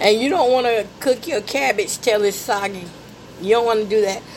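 Background noise is noticeable throughout. The delivery is fairly quick, and the pitch varies in an ordinary way. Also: woman. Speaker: podcast host, home cook. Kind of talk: casual cooking chat.

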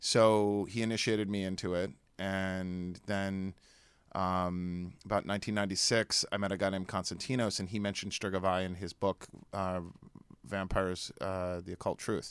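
In an American accent, a man with a very deep, low pitch speaks in a monotone, flat way at a moderate pace, on a very clean recording with a silent background. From US Northeast, New Jersey. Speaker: vampire culture expert and warlock. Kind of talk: casual interview chat. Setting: studio.

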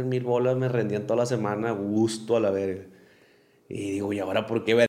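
Audible room echo surrounds a man speaking at medium pitch. He talks at a very fast pace. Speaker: podcast host. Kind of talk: casual chat. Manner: animated.

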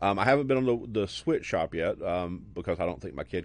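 An animated man with a Southern US accent, vocal fry, very wide pitch swings and a very fast pace. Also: quiet background. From US South, Alabama. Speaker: podcast host. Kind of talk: casual interview.

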